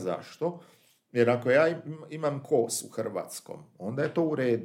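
With ordinary variation in his pitch, a man talks at a medium pitch. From Croatia, Daruvar. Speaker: poet. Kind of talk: interview. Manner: halting.

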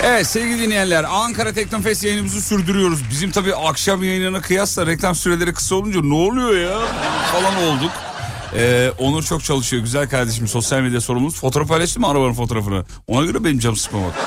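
Speaking at a very fast pace, a man with a fairly high pitch uses very wide pitch swings and an animated tone. His loudness stays very even over noticeable background noise. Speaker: radio host. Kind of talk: casual chat. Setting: outdoors.

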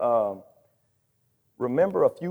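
Here a man speaks with a Southern US accent. His tone is dark and mellow. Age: 40s. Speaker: pastor and church planter. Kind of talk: sermon. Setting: church.

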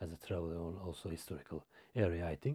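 A man with a Turkish accent speaks in a dark, mellow tone. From Turkey. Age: 40s. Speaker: logistics manager. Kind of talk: interview. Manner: halting.

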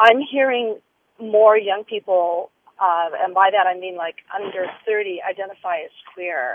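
A woman with an unremarkable speaking voice of medium pitch at a fairly slow pace, with big swings in loudness. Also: ordinary pitch variation. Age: 50s. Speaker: caller. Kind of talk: radio call-in. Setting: phone call from a car.

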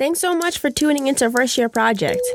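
A woman's lively intonation over music in the background. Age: 20s. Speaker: podcast host. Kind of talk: interview; scripted narration.

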